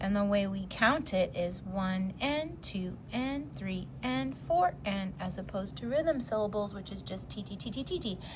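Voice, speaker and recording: A woman at a medium pitch swings her pitch very widely, talking at a fairly slow pace with hardly any pauses in a room with audible echo. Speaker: music teacher. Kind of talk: lecture.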